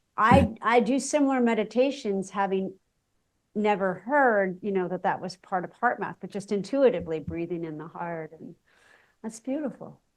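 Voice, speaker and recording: A woman talks at a moderate pace with lively intonation and a fairly high pitch. Hers is an unremarkable speaking voice. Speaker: podcast host. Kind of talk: interview question.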